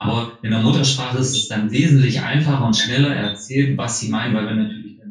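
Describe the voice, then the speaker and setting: An ordinary speaking voice, its pitch moving in an ordinary way. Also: man. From Harz, Saxony-Anhalt, Germany. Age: 30s. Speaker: field engineer. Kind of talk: casual chat.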